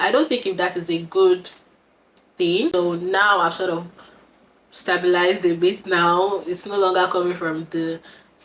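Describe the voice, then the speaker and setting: Amid noticeable background noise, a woman with a fairly low pitch talks at a fairly quick pace. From Nigeria. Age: 20s. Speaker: content creator. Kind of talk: casual vlog chat.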